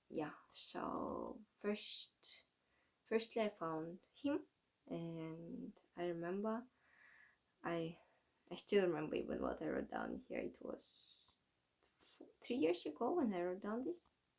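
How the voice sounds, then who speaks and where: In a Russian accent, a woman speaks at a very slow pace with long, frequent pauses. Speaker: vlogger. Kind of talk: casual monologue. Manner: halting.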